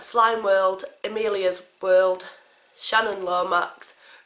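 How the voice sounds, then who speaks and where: Speech at a very slow pace, delivered in a monotone with flat intonation. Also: woman. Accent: English. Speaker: family vlogger. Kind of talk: casual vlog.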